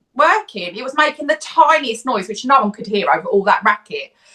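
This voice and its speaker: A woman projects a raised, high-pitched voice with a bright, sharp tone. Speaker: podcast co-host. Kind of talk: casual chat. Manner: loud.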